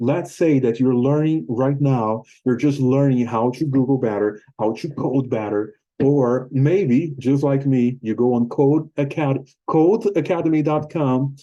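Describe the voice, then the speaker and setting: With a Portuguese accent, a man speaks at a medium pitch with a dark, mellow tone and ordinary pitch variation. His pace is fairly slow, his loudness very even, and he hardly pauses at all. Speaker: YouTuber and English teacher. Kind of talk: casual talk to camera. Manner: halting.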